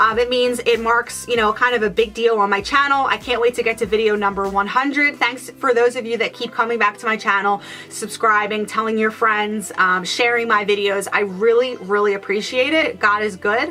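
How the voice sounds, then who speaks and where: Over noticeable background noise, a woman talks at a fairly quick pace with hardly any pauses, her fairly high voice keeping a fairly even intonation. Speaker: beauty vlogger. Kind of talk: product review vlog. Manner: fast; hesitant, many fillers.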